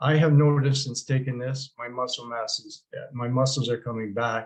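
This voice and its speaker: In a Canadian accent, a man talks at a moderate pace with a medium pitch. His voice is somewhat breathy and his intonation monotone and flat. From Canada. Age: 70s. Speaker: product promoter. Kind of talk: product testimony. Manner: hesitant, many fillers.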